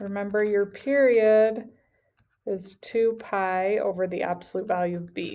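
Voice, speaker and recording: This woman has a plain, everyday voice at a medium pitch. She talks fairly slowly, with fairly even intonation. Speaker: math teacher. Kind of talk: tutorial.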